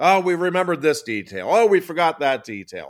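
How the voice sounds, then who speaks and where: The speaker has an American accent and very wide pitch swings. The recording is very clean, with a silent background. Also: man. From State College area, Pennsylvania. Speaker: sports talk co-host. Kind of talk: casual sports talk.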